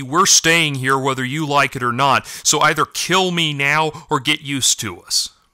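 A man puts on a growling character voice. His pitch sits fairly high. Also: moderate pace. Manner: growling, defiant.

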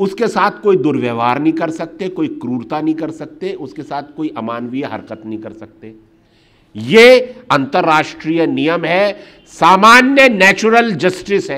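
The pitch swings very widely and the loudness shifts a lot. The pace is fairly slow. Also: man, high pitch for a man. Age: 50s. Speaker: human rights activist; speaker. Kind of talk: public talk. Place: hall.

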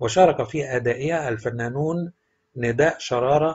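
A somewhat breathy voice with ordinary pitch variation and an Egyptian accent. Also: man. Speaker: celebrity news narrator. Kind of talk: celebrity news narration.

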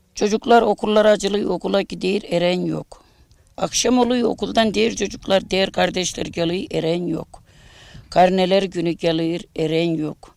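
Here a woman speaks at a fairly slow pace. Her pitch is medium, with ordinary variation. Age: 60s. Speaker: bereaved mother of a martyr. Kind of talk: news interview testimony.

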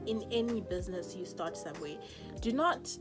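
The speaker has a Zimbabwean accent. Loud music plays in the background. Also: woman. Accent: Shona (Zimbabwean). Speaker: makeup artist. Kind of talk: casual talk to camera. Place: home room. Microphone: phone near.

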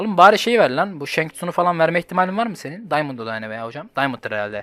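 The man speaks with lively intonation while music plays in the background. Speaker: gaming youtuber. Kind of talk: gameplay commentary. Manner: animated; fast.

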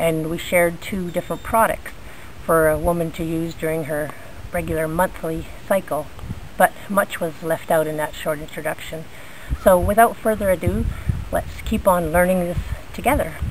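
A woman's fairly low voice at a moderate pace, with fairly even intonation, long and frequent pauses, and light background noise. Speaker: bushcraft instructor. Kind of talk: tutorial. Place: garden. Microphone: phone near.

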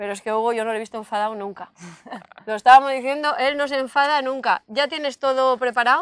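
A high-pitched woman at a very fast pace, with ordinary pitch variation, a dry sound with no echo and a quiet background. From Valencia region, Spain. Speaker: local channel interviewer. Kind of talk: interview. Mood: warm, lively. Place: open country. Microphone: lapel.

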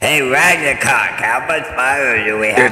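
A man puts on a character voice and talks at a fairly slow pace. There is slight echo, with faint music in the background. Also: medium pitch for a man. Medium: game stream. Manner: giggly, rambling.

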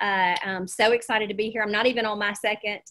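This woman has a medium-pitched voice with a Southern US accent, heard over a quiet background. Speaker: real estate coach and presenter. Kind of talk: energetic, folksy presentation. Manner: fast talker. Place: home room. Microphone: webcam.

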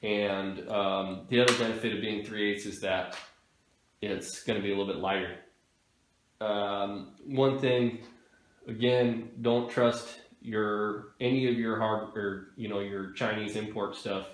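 A man speaks with a fairly low pitch and monotone, flat intonation. His fairly slow delivery carries audible room echo. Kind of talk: tutorial. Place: workshop.

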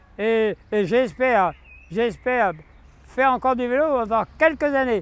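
This man's voice has an extremely high pitch with ordinary variation. He speaks at a fairly slow pace in a dry sound with no echo. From France. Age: 80s+. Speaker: cyclist. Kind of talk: interview answer. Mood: hopeful, cheerful. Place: street. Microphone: lapel.

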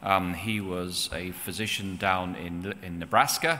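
This man's voice sits at a very deep, low pitch, with a bright, sharp tone. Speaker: presenter. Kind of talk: lecture. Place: church. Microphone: podium.

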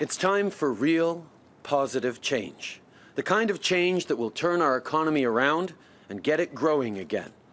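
Lively intonation and a moderate pace from a male speaker. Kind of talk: campaign speech. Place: open country. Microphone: podium.

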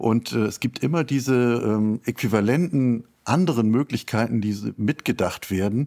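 The voice has a dark, mellow tone, ordinary pitch variation and very even loudness at a moderate pace. The sound is dry and close, with no echo. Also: man, medium pitch for a man. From Schleswig-Holstein, northern Germany. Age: 60s. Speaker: literature professor. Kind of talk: interview. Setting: video call.

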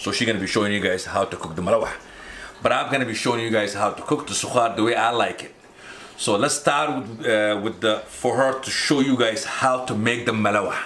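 Light background noise runs under a man's voice. He talks at a fairly quick pace with ordinary pitch variation. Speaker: home cook vlogger. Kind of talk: casual vlog chat. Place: kitchen. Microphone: camera far.

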